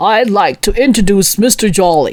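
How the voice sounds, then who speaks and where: A put-on character voice at a fairly high pitch and a moderate pace. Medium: read story. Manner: clipped, stern.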